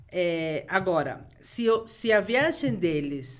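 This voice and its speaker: A woman with a Peruvian accent speaks at a very slow pace, her fairly low pitch making very wide swings. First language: Spanish (speaking Portuguese). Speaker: travel expert. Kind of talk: podcast interview.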